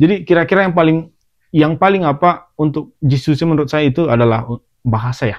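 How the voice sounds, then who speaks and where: With a Medan accent, a man talks at a very fast pace, his fairly high pitch showing ordinary pitch variation. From Indonesia, Medan (North Sumatra). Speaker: podcast host, former trainee worker in Japan. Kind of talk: casual chat.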